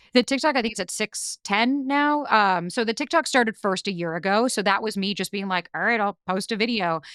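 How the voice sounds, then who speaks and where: A woman of medium pitch speaks at a fairly quick pace with lively intonation and hardly any pauses, the very clean recording dry and close with no echo and a silent background. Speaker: dating coach and podcaster. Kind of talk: interview. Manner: fast; blunt.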